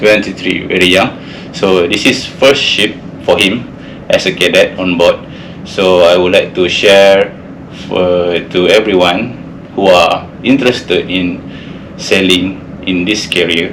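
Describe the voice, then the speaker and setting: A man's very deep, low voice in a Malaysian accent, with fairly even intonation, a fairly slow pace, long and frequent pauses, audible room echo and noticeable background noise. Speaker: seafarer, ship engineer. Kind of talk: casual podcast interview. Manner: halting.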